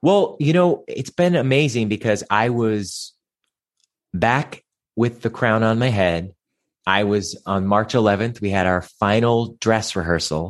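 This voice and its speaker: A man with an American accent speaks at a fairly slow pace in an unremarkable speaking voice, with medium pitch and lively intonation over a quiet background. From Cleveland, Ohio, US Midwest. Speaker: stage actor and singer. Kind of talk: casual interview chat.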